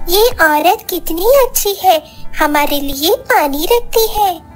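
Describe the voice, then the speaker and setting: Clear music plays in the background. Over it comes a cartoonish character voice at a very slow pace. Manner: earnest, friendly.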